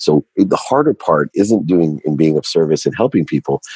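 The man here has a dark, mellow tone, a moderate pace and ordinary pitch variation, with a dry, close sound and no echo. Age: 50s. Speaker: entrepreneur and CEO. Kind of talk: interview.

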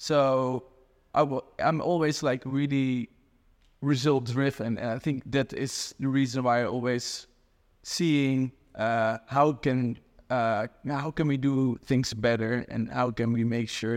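A man with a Dutch accent at a very slow pace, medium pitch and fairly even intonation, in a very clean recording with a silent background. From Netherlands. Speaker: e-commerce growth consultant. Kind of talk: casual interview. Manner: hesitant, many fillers.

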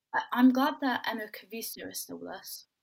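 A woman speaks with a southern English accent. Her pace is moderate. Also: very clean recording, silent background. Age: young. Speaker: women's football podcast host. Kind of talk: casual chat.

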